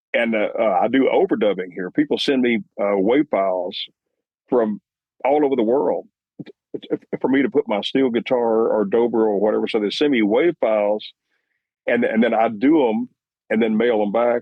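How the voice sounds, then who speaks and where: In a West Texas accent, a man with medium pitch speaks with ordinary pitch variation and long, frequent pauses. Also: moderate pace. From Texas, Lubbock. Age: 70s. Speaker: musician and producer. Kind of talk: interview. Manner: halting, many repetitions.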